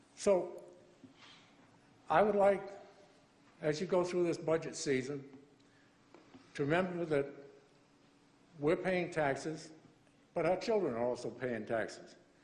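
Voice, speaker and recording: Long, frequent pauses at a fairly slow pace, with audible room echo. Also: man, fairly high pitch for a man, ordinary pitch variation. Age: 70s. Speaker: resident making public comment. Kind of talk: public comment. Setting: council chamber.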